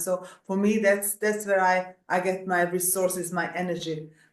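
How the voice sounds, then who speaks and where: A woman with a Hungarian accent talks at a moderate pace in a medium pitch, keeping her intonation fairly even. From Hungary, Budapest. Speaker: executive coach and coach assessor. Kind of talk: interview. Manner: halting.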